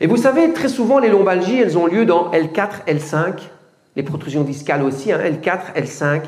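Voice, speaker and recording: The speaker sounds animated, with very wide pitch swings, against noticeable background noise and audible room echo. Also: man. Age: 70s. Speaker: fitness coach. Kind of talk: lecture.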